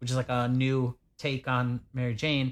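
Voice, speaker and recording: A man's ordinary speaking voice at a medium pitch and a fairly slow pace, in a very clean recording with a silent background. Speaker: podcast co-host. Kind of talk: casual, profane banter.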